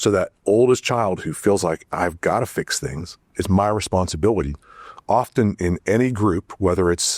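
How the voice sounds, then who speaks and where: This man has an unremarkable speaking voice, fairly low in pitch with ordinary pitch variation, at a moderate pace in a dry, close sound with no echo. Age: 60s. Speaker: family therapist. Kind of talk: casual chat. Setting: studio.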